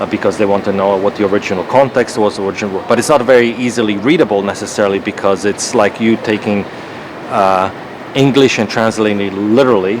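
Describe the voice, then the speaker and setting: Man with a Croatian accent, fairly low in pitch and fairly quick in pace, with fairly even intonation and noticeable background noise. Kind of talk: casual debate.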